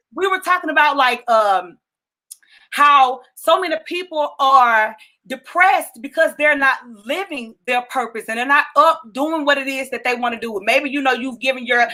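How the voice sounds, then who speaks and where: Speaking at a moderate pace, a woman projects a raised, high-pitched voice with a bright, sharp tone and ordinary pitch variation. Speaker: talk show host. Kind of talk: casual interview chat. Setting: live stream video.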